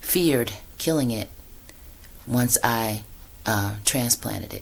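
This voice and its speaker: This voice belongs to a woman. It sits very deep and low in pitch. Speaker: yoga and meditation teacher. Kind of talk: casual vlog talk. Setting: indoors at home. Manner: hesitant, many fillers.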